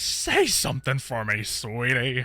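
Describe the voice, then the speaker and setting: A put-on character voice from a man, medium in pitch, with monotone, flat intonation. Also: fairly slow pace. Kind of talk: comic overacting. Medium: machinima. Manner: dramatic, emotional.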